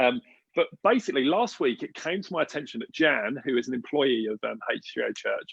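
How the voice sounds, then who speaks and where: Here is a man with an English accent. His tone is animated and his pace fairly quick. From England. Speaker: church leader hosting online gathering. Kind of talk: casual livestream hosting.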